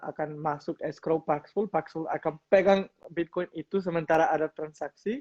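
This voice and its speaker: A man's fairly high-pitched voice at a moderate pace, with fairly even intonation and a dry, close sound with no echo. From Colombia. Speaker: crypto company business developer. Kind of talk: interview. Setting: livestream. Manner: halting, many fillers.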